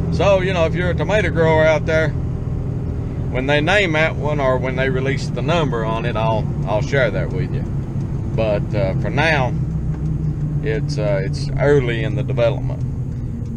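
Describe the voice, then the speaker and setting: A moderate pace, a dry sound with no echo, and loud background noise. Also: man. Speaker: farmer vlogger. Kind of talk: casual vlog chat. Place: car. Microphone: phone near.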